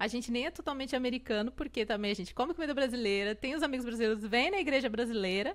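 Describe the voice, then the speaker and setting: A woman talking at a very fast pace with ordinary pitch variation, on a very clean recording with a silent background. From Brazil. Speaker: podcast host. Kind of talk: interview.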